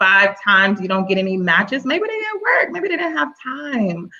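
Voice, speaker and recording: A woman with an American accent at medium pitch, with a bright, sharp, animated tone and a moderate pace. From Texas. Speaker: panelist. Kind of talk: panel discussion.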